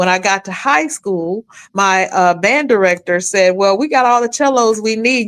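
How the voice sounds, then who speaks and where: Her pitch fairly high and varying in an ordinary way, a woman speaks at a moderate pace on a very clean recording with a silent background. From Atlanta area, Georgia (US South). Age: 60s. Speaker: podcast guest. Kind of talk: casual chat.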